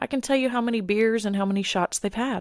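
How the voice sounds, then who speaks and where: On a very clean recording with a silent background, a woman speaks fairly quickly in a dry, close sound with no echo. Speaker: podcast host. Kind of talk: personal monologue podcast. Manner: loud.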